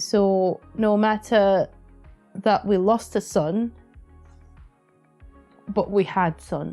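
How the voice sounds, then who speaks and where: With music in the background, a woman speaks in a shaky, monotone voice at medium pitch and a very slow pace, leaving long, frequent pauses. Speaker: podcast co-host. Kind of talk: emotional personal talk about grief. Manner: shaky, emotional.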